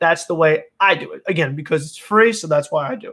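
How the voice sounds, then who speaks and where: Talking at a very fast pace, a man uses a high pitch and a bright, sharp tone with ordinary pitch variation. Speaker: sports YouTuber. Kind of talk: live stream chat, answering viewer comments. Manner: casual, many filler words and restarts.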